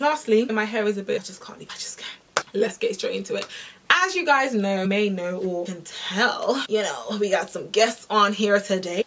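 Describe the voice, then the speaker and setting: Big swings in loudness, a moderate pace and ordinary pitch variation, with noticeable background noise. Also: woman, fairly high pitch for a woman. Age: 20s. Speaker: fitness content creator. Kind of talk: casual talk to camera.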